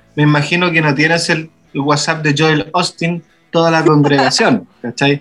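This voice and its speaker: A man talks at a fairly slow pace in a fairly high voice, an ordinary speaking voice. His pitch varies in an ordinary way, and his loudness stays very even. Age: 30s. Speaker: pastor. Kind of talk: casual chat.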